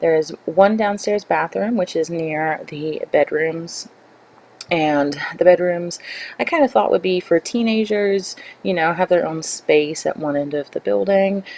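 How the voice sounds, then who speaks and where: Over noticeable background noise, the speaker talks fairly slowly with lively intonation. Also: woman, fairly low pitch for a woman. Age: 20s. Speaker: gaming YouTuber. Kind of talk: gameplay voiceover. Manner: hesitant, many fillers.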